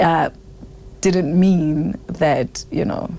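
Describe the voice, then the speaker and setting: Noticeable background noise runs through the clip. A woman speaks at a fairly slow pace. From South Africa. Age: 30s. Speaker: singer. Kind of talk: interview answer.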